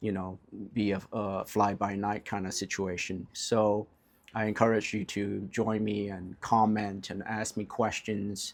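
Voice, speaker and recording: A man with a fairly low pitch speaks in a monotone, flat delivery on a very clean recording with a silent background. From California. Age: 40s. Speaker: life coach. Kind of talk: casual vlog monologue. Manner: unscripted, with frequent fillers and repetitions.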